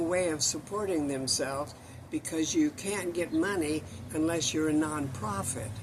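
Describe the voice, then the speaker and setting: A man with an American accent talks at a fairly slow pace and high pitch, with ordinary pitch variation. Noticeable background noise runs underneath. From US Midwest, Illinois. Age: 80s+. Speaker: community gardening activist. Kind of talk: interview.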